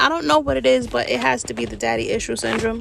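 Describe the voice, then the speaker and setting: A woman speaks over noticeable background noise. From New York City. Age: 40s. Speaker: podcast host. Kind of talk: casual personal monologue. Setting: in a car. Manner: animated.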